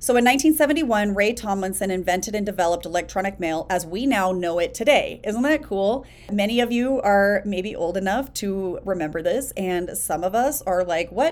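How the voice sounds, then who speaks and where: A woman with a plain, everyday voice speaks at a moderate pace, her medium pitch carried by lively intonation. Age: 40s. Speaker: business coach podcast host. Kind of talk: solo podcast monologue.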